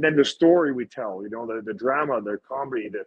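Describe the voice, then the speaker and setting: Pitch varies in an ordinary way. Words come at a fairly quick pace. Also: man. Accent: Montreal. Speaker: professional wrestler. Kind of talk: casual chat. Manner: animated.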